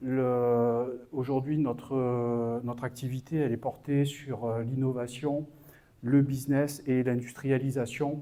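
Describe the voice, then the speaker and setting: Over audible room echo, a man speaks very slowly in a dark, mellow tone with monotone, flat intonation. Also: medium pitch for a man. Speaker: business consultant. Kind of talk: conference talk. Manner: halting, many hesitations.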